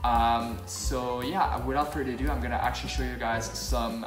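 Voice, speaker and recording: Moderate-paced speech with clear music in the background. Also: man. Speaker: comedy sketch vlogger. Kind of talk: comedic sketch, mock vlog and testimonials. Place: home room. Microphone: phone near.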